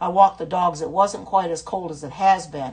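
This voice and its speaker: Somewhat breathy, a woman talks at a moderate pace with an American accent. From US Midwest, Indiana. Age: 70s. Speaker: cooking livestream host. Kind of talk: casual livestream cooking chat. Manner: chatty, hesitant with many fillers.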